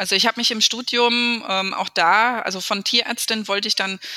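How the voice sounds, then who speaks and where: Recorded dry and close with no echo, a woman speaks at a moderate pace over noticeable background noise. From Speyer, Rhineland-Palatinate, Germany. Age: 30s. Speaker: mayor. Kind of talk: interview. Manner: hesitant with frequent fillers.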